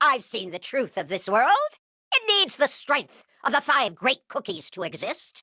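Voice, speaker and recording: The speaker puts on a character voice with a high pitch. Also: moderate pace. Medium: video game. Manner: overblown, boastful.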